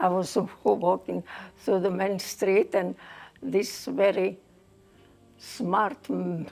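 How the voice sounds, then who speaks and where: A woman speaks at a very slow pace. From Egypt, Port Said. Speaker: migrant recalling her life. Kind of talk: interview storytelling.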